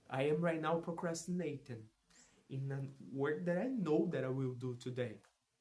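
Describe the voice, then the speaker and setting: Lively in intonation, a man talks with a Portuguese accent. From Brazil. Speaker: vlogger practicing English. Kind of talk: casual monologue vlog. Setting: alone at his parents' home. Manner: halting, many restarts and repetitions; loud.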